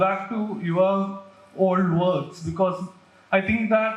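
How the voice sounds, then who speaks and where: With audible room echo and noticeable background noise, a man speaks at a high pitch and a fairly slow pace. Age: 20s. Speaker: audience member. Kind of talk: audience question.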